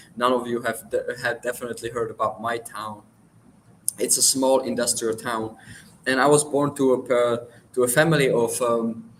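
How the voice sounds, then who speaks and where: A man talks at a moderate pace with a Czech accent. His intonation is monotone and flat. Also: medium pitch for a man. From Czech Republic. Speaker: livestream guest sharing life story. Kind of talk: personal testimony. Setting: livestream. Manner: halting, self-correcting.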